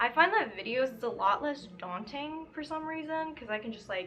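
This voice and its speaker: A woman speaks in a raised, projected voice at a high pitch with very wide pitch swings. Her pace is fairly slow, with noticeable background noise. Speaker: crochet vlogger. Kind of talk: casual chat. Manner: casual, filler-heavy.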